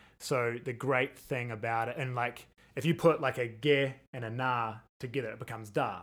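Speaking with a New Zealand accent, a man uses a medium pitch, a moderate pace and fairly even intonation. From New Zealand, Christchurch. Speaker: percussionist. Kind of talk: casual chat.

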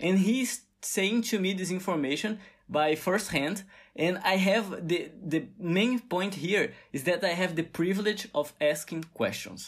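With a Brazilian Portuguese accent, a man talks at a fairly slow pace. His pitch is high, with ordinary variation. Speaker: podcast host, engineering student. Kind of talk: casual solo monologue. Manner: halting, frequent repetitions.

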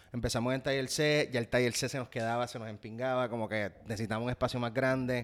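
Talking very fast with hardly any pauses, a man keeps a medium pitch and a monotone, flat intonation on a very clean recording with a silent background. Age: 30s. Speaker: actor and salsa musician. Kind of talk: casual interview.

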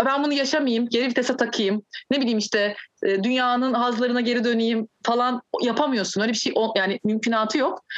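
A woman speaks at a high pitch and a fairly quick pace with fairly even intonation. Her loudness stays very even in a dry, close sound with no echo. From Turkey. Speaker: musician and Sufi practitioner. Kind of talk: casual chat.

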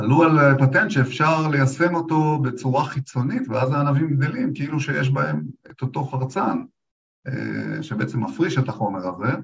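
This man speaks at a moderate pace with a fairly high pitch, ordinary pitch variation and vocal fry. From Israel, Lakhish area. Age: 50s. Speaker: agronomist. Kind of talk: interview. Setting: studio.

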